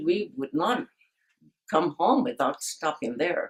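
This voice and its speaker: A woman speaks with a fairly low pitch. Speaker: oral history interviewee. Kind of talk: oral history interview.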